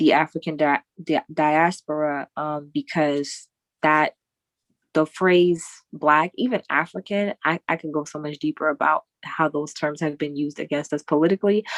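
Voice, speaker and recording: A woman with a New York accent speaks at a moderate pace in a very deep, low pitch. The sound is dry and close with no echo, over a quiet background. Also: fairly even intonation. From New York, Queens. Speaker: poet and host. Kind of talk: casual chat.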